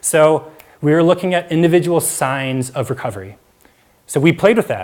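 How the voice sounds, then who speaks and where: A man is talking. The intonation rises and falls in a lively way. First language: Mandarin. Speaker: public speaker sharing mental health story. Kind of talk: talk to live audience. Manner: casual with frequent fillers.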